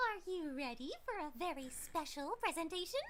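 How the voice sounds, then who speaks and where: A put-on, female-sounding character voice squeaks out in an extremely high pitch with a bubbly tone over clear background noise. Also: moderate pace. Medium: game stream. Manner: bubbly, giggly, sing-song.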